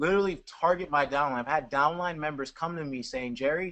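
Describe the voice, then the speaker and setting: Speaking at a fairly quick pace, a man has a fairly high voice with a bright, sharp tone. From Jamaica. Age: 20s. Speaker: network marketer. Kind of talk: webinar Q&A. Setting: online webinar.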